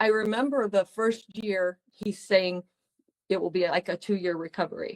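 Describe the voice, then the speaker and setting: The sound is dry and close with no echo. A woman speaks at a moderate pace, with medium pitch and ordinary pitch variation. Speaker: illustrator and patient sharing her experience. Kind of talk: casual interview testimony. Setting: video call from her art studio. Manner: halting, self-correcting.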